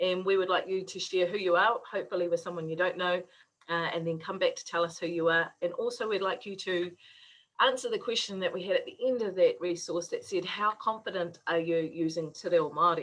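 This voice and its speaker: Speaking fairly quickly in a New Zealand accent, a woman keeps a medium pitch and fairly even intonation. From New Zealand, West Auckland. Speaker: university lecturer in Māori health. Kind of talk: online workshop presentation.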